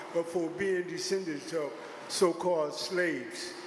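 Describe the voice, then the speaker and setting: Over noticeable background noise and audible room echo, a man talks at a high pitch with fairly even intonation. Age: 70s. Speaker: public hearing speaker. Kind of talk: public testimony.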